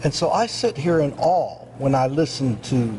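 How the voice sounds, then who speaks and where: Here a man talks with a fairly high pitch. Noticeable background noise runs under his voice. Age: 70s. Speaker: bishop and minister. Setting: round-table studio set.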